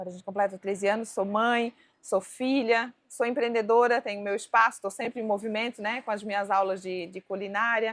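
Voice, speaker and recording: A woman's fairly high voice, fairly even in intonation, with big swings in loudness, a fairly quick pace and hardly any pauses. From Balneário Camboriú, Santa Catarina, southern Brazil. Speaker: cooking teacher and entrepreneur. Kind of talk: casual interview chat.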